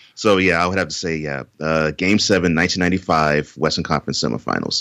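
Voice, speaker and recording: A man speaks very fast in a very deep, low voice with vocal fry and ordinary pitch variation. His tone is bright and sharp, and the sound is dry and close with no echo. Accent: American. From Houston, Texas. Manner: talkative, repeats words for emphasis.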